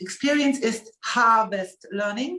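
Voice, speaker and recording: A woman with a German accent, her pitch fairly high, her pace fairly slow, and her pitch variation ordinary. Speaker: spiritual coach. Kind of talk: casual chat.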